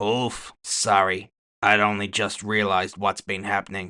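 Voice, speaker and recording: A man puts on a raspy character voice with monotone, flat intonation. The background is quiet. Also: fairly low pitch for a man, moderate pace. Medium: read story. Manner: casual, unruffled.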